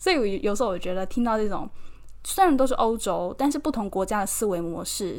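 A woman in a Taiwanese accent speaks at a fairly high pitch. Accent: Taiwanese Mandarin. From Taiwan, Keelung. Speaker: podcast host and model. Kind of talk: casual solo podcast monologue.

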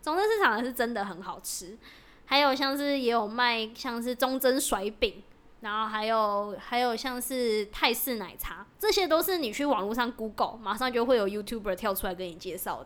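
A woman has an unremarkable speaking voice and talks at a moderate pace with lively intonation. The recording is very clean, with a silent background. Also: fairly high pitch for a woman. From Taiwan, Taoyuan (Zhongli/Pingzhen). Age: 20s. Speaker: podcast co-host, startup employee. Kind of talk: casual chat.

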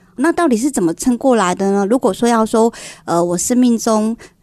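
A woman speaks at a moderate pace with lively intonation, her fairly high voice carrying a dark, mellow tone over a quiet background. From Taiwan, Kaohsiung. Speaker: home decor entrepreneur. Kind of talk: radio interview.

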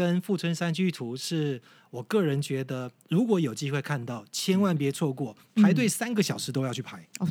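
Recorded very cleanly over a silent background, a man speaks in a dark, mellow tone with lively intonation. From Taiwan, Yilan. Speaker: tour leader and guide. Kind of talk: casual interview chat, explaining history.

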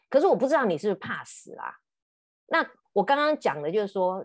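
Against a quiet background, a woman talks at a fairly quick pace and medium pitch, her pitch swinging very widely. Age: 50s. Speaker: podcast host and counselor. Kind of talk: casual chat.

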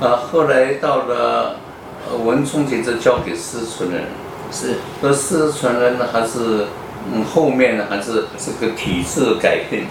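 A man with a medium pitch and ordinary pitch variation speaks at a very slow pace. Audible room echo and noticeable background noise accompany him. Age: 80s+. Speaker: surgeon. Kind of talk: interview. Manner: halting.

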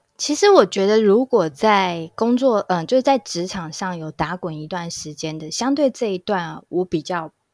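In a very clean recording with a silent background and a dry, close sound free of echo, a woman uses an ordinary speaking voice at medium pitch, moderate pace and lively intonation, with big swings in loudness and hardly any pauses. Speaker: HR recruitment specialist. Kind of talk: casual chat.

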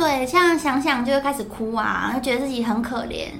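In a room with audible echo and noticeable background noise, a woman with a high pitch speaks at a fairly quick pace. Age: 20s. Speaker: former nurse. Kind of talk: interview testimony.

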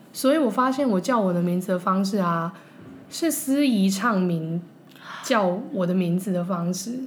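Against noticeable background noise, a woman speaks at a fairly slow pace. Her pitch sits in the medium range and her intonation is lively. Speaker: former advertising copywriter. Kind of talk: casual chat.

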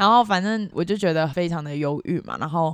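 A plain, everyday voice from a woman, fairly low in pitch, with ordinary pitch variation and a fairly quick pace. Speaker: Taiwanese expat working in Singapore. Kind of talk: casual interview chat.

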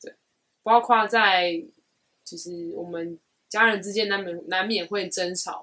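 With a bright, sharp tone at medium pitch, a woman talks at a fairly slow pace, her loudness swinging widely and her speech broken by long, frequent pauses. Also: ordinary pitch variation. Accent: Taiwanese. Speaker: podcast co-host. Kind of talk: casual chat.

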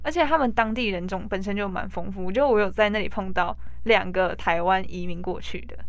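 A woman speaks at a fairly quick pace, and some room echo can be heard. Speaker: recent high school graduate, former exchange student. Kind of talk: interview.

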